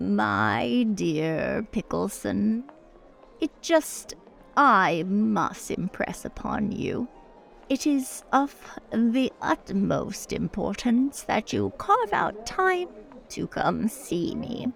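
Clear music plays behind a woman who speaks very slowly, with long, frequent pauses. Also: medium pitch for a woman. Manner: insistent, flirtatious, imperious.

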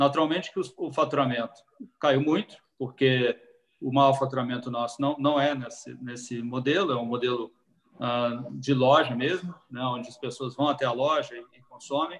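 Here a man talks at medium pitch. His loudness rises and falls in big swings. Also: moderate pace. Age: 50s. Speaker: restaurant franchise executive. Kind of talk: live-stream talk. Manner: halting.

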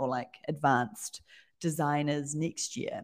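This woman speaks in a very deep, low pitch with a New Zealand accent. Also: quiet background. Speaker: design studio owner. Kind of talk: casual interview chat.

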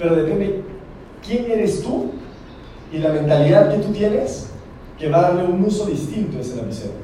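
A man's animated, high-pitched voice at a fairly quick pace, amid noticeable background noise and audible room echo. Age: 20s. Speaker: network marketing trainer. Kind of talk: motivational talk. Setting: stage with audience.

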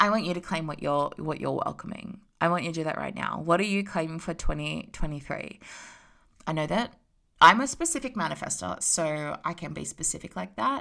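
A woman with an Australian accent, animated in tone, at a fairly quick pace, on a very clean recording with a silent background. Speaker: spiritual business coach podcaster. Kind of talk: casual motivational monologue.

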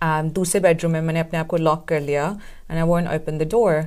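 A plain, everyday voice from a woman, fairly low in pitch, at a moderate pace. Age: 20s. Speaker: domestic violence survivor and entrepreneur. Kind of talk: interview testimony.

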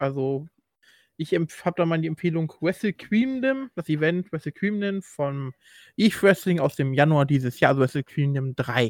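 With a plain, everyday voice, a man at a fairly high pitch talks at a moderate pace with lively intonation, recorded dry and close with no echo, very clean, against a silent background. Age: 20s. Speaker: wrestling podcast host. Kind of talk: casual chat.

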